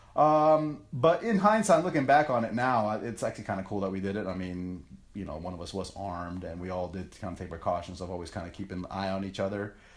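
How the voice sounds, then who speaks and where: A man with a fairly low pitch talks at a very fast pace with hardly any pauses. His intonation is lively, his loudness swings widely, and room echo is audible. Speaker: podcast host. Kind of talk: casual monologue. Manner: animated.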